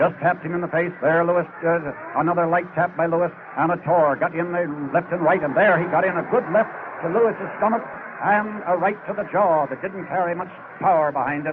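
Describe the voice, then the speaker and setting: Noticeable background noise sits behind a man with a high-pitched voice. He sounds excited and speaks at a fairly quick pace. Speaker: radio boxing commentator. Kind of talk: live radio sports commentary, ringside play-by-play. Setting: ringside at a live boxing arena, vintage radio recording. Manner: fast, excited, rapid-fire call of the action.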